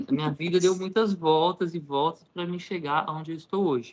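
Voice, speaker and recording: A man talks in a high-pitched voice. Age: 30s. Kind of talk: interview, personal testimony.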